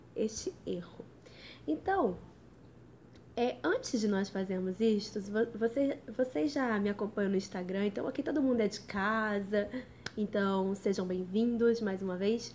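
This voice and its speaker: Somewhat breathy, a woman at medium pitch speaks at a fairly slow pace with ordinary pitch variation. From Brazil, Rio de Janeiro. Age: 20s. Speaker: lawyer studying for civil service exams. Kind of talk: live stream study tips talk. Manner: casual, chatty.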